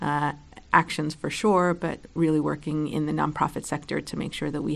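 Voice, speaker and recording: Speaking at a fairly quick pace, a woman uses a very deep, low pitch with vocal fry and monotone, flat intonation. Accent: American. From New York City. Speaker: state legislator. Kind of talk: personal introduction, prepared monologue.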